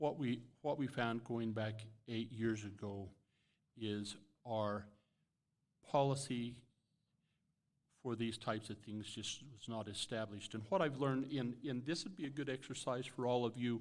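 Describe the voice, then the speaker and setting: Speaking at a medium pitch and a moderate pace, a man uses ordinary pitch variation and leaves long, frequent pauses. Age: 60s. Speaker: state legislator, election candidate. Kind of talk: candidate forum answers.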